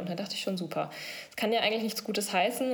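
Audible echo from the room is present. The woman's intonation stays fairly even. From Sauerland, western Germany. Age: 20s. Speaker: breast cancer patient. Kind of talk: interview.

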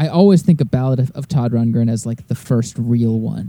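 This man speaks at a moderate pace in a medium pitch, his tone dark and mellow and his intonation lively. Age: 30s. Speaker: musician and record producer. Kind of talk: casual chat.

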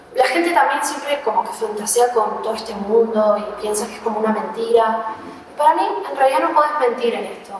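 A woman talks at a fairly quick pace with a fairly high pitch and ordinary pitch variation, her loudness swinging widely amid audible room echo and noticeable background noise. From Argentina, Neuquén. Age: 20s. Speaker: emotional therapist. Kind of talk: interview conversation. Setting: hotel room.

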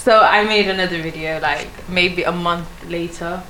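Fairly low-pitched speech from a woman over noticeable background noise. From Sweden, small city. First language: Swedish. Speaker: content creator and architecture student. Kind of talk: casual chat. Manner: halting.

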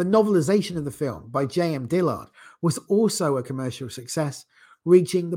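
A man with a dark, mellow, somewhat breathy tone uses lively intonation at a moderate pace on a very clean recording with a silent background. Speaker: podcast host. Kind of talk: solo podcast monologue. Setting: video podcast studio. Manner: hesitant, many fillers.

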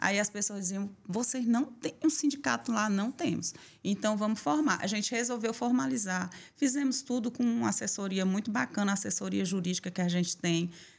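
A woman's somewhat breathy voice carries lively intonation. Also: medium pitch for a woman, fairly quick pace. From Bahia interior, Brazil. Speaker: salon owner and union president. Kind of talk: interview testimony.

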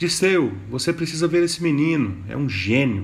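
A man speaks in a somewhat breathy voice, with ordinary pitch variation. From Minas Gerais, Brazil (Mariana). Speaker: podcast host, journalist and writer. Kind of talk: scripted narration of chronicles.

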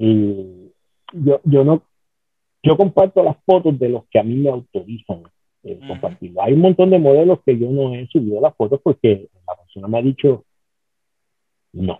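Pitched fairly high, a man speaks at a moderate pace with very wide pitch swings, big jumps in loudness and long, frequent pauses. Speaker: former pro wrestler and championship belt maker. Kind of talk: interview. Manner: halting.

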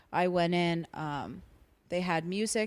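In an American accent, a woman uses an ordinary speaking voice, fairly low in pitch with fairly even intonation, on a very clean recording with a silent background. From South Florida. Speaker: stand-up comedian. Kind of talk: casual chat.

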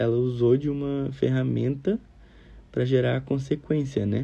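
A man at a fairly slow pace. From Brazil, Minas Gerais. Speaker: psychology student. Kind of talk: recorded class assignment. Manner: casual.

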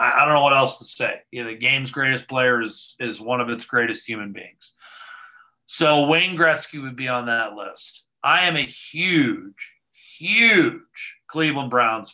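With an American accent, a man speaks fairly slowly at a medium pitch in a bright, sharp tone, with ordinary pitch variation and big swings in loudness. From United States. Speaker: hockey play-by-play broadcaster. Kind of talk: casual interview.

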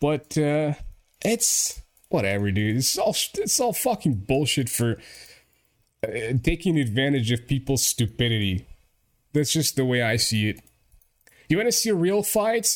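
The voice moves through very wide pitch swings at a fairly slow pace, with long, frequent pauses. Loudness stays very even, and the recording is very clean with a silent background. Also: man, fairly high pitch for a man. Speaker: podcast host. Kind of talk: casual chat. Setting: live internet radio broadcast. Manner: casual, profane.

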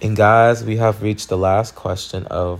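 This man talks at a fairly slow pace in a normal speaking voice, his intonation fairly even. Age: 20s. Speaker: podcast host. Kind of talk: casual Q&A monologue. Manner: casual with frequent fillers.

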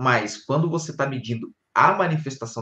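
This man's voice has a bright, sharp tone. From Rio de Janeiro, Brazil. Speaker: conscienciology teacher. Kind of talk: live-streamed panel discussion. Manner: hesitant, many fillers.

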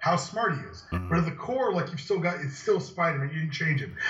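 A man's high-pitched voice at a very fast pace, with music in the background and audible room echo. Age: 20s. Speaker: podcast co-host. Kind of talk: casual chat.

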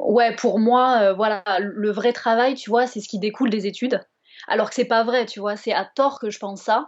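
With a Bordeaux accent, a woman speaks at a moderate pace in a fairly high pitch and fairly even intonation. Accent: southwest French (Bordeaux). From Bordeaux, southwest France. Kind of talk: casual interview chat. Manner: hesitant, many fillers.

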